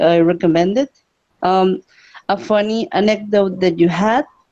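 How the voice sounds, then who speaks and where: A woman speaks in a Spanish accent at a medium pitch with ordinary pitch variation. Her tone is dark and mellow. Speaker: language exchange participant. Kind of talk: casual chat.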